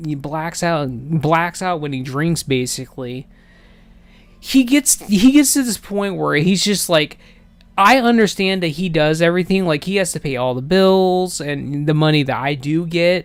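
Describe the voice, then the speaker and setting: Using lively intonation, a man speaks at a moderate pace in a high pitch. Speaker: video game streamer. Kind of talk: casual chat. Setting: live stream. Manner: halting. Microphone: voice echoing, no headphones.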